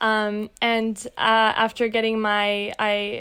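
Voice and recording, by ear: Her fairly high-pitched voice has a clear, smooth and fairly bright tone.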